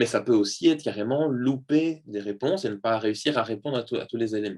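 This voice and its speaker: Against a quiet background, a man speaks fairly quickly at a medium pitch with ordinary pitch variation. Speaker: neuropsychologist giving a talk. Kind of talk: lecture. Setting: video call. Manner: fast.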